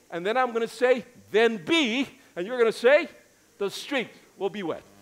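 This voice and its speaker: Speaking at a moderate pace, a man uses an extremely high pitch with an animated tone and lively intonation. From US, New York City. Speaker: pastor. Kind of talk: sermon. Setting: church. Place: church. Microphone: headset.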